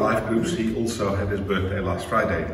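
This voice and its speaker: Faint music plays in the background. There is audible room echo. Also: man. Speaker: church host giving announcements. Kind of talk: church announcements. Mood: warm, upbeat. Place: home room. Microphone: camera far.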